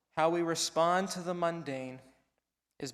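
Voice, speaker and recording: A man has an ordinary speaking voice with fairly even intonation. He keeps a moderate pace. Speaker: sermon speaker / spiritual care provider. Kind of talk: church sermon delivered to a congregation.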